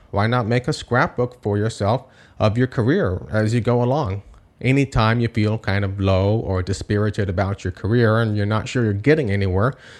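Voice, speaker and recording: A man at a medium pitch, an ordinary speaking voice, against a quiet background. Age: 30s. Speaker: podcast host and composer. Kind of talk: solo podcast monologue.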